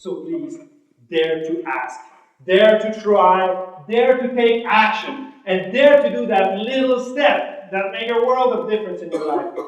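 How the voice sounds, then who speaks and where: A man with a high voice speaks fairly slowly, swinging very widely in pitch, with audible room echo. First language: French. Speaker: motivational speaker. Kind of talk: motivational speech. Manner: animated.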